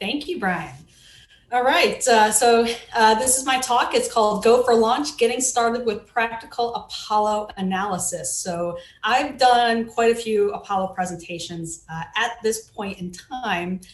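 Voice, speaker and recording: Audible room echo accompanies speech delivered at a fairly slow pace. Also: woman, fairly high pitch for a woman, ordinary pitch variation. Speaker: digital forensics researcher. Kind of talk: conference talk.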